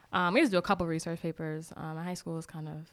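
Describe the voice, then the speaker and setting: A woman with an American accent talks at a very fast pace. Her pitch is fairly low, and the recording is very clean with a silent background. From Boston, Massachusetts. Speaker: new nonprofit staff member. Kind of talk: casual interview.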